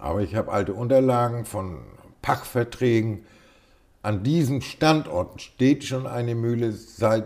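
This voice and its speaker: A man with a northern German accent speaks at a very slow pace. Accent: northern German, Low German tinge. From northern Germany, Schleswig-Holstein. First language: Low German (speaking German). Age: 60s. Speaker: hobby miller. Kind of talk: interview.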